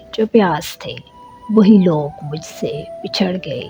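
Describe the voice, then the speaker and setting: Music plays in the background as a woman talks. She uses lively intonation at a medium pitch. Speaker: voice-over artist. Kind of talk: poetry reading. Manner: emotional, heartfelt.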